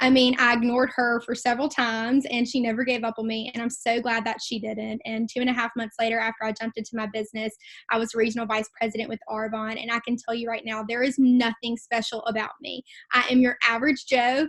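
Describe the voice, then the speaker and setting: A woman's fairly high voice in a Mississippi accent at a very fast pace, on a very clean recording with a silent background. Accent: Southern (Mississippi). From Mississippi, US South. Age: 20s. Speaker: network marketing regional vice president. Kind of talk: motivational talk on team call. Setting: conference call. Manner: animated.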